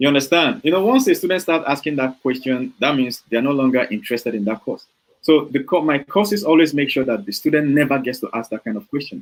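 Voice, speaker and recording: A man with a Nigerian accent and a fairly high pitch speaks very fast with lively intonation. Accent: Nigerian, full. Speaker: software developer and online trainer. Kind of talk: interview. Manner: hesitant, many fillers.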